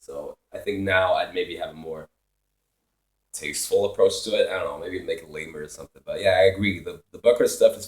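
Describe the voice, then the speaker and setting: A man's loudness swings widely while he keeps to a moderate pace. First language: Swedish or Finnish. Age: 20s. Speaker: musician and streamer. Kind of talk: casual live stream Q&A. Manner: casual, profane, rambling.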